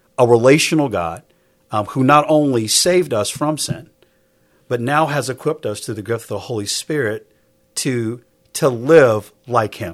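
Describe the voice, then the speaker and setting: At a moderate pace, a man uses a plain, everyday voice of medium pitch with ordinary pitch variation. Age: 50s. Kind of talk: casual chat.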